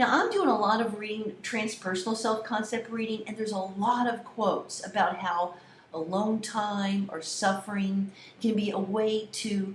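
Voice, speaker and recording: Heard through noticeable background noise and audible room echo, the speaker talks with an American accent and ordinary pitch variation. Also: woman. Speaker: college communication instructor. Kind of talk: lecture to students. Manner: animated; loud.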